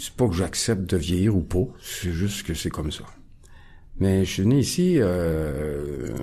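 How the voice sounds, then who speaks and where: A man speaks at a very slow pace with a very deep, low pitch. His tone is dark and mellow, and his intonation is lively. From Quebec, Montreal (Ahuntsic). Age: 60s. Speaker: recovering alcoholic guest. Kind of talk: testimony. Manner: halting, many hesitations.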